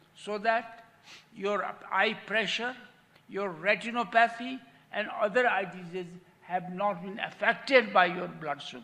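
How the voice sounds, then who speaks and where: Speaking with a Nepali accent in a raised, projected voice, a man with a high pitch and ordinary pitch variation talks at a fairly slow pace, with long, frequent pauses and big swings in loudness. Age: 80s+. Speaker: patient with lived experience, diabetic. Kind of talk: testimony.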